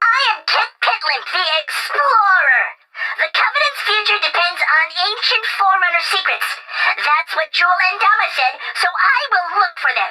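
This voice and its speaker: A put-on character voice, extremely high in pitch, at a moderate speed. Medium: video game. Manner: earnest, conspiratorial.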